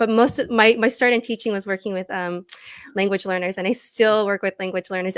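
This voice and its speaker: Recorded very cleanly against a silent background, a woman with a fairly high pitch speaks in fairly even intonation, the sound dry and close with no echo. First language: not English. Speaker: storytelling coach and former teacher. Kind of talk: interview conversation.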